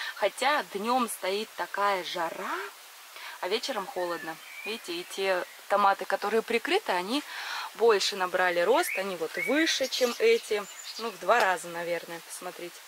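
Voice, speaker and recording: At a moderate pace with long, frequent pauses, the speech comes through dry with no echo over noticeable background noise. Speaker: gardening vlogger. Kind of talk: casual vlog chat. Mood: enthusiastic, laughing often. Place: garden. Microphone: phone near.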